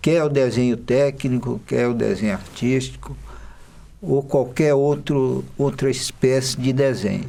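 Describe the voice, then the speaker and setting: Delivered at a fairly slow pace, a plain, everyday voice keeps very even loudness and ordinary pitch variation. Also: man, medium pitch for a man. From Maranhão, Brazil. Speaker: illustrator. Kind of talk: documentary interview.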